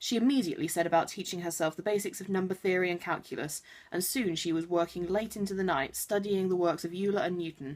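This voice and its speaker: The woman talks at a very fast pace. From Wiltshire, England. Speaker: vlogger. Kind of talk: casual chat; reading aloud. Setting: home bedroom. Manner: halting.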